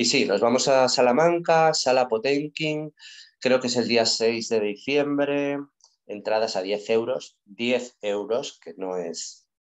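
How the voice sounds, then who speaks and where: The man's pitch is medium and varies in an ordinary way. His pace is very slow. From Spain (León). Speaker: band vocalist. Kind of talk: interview.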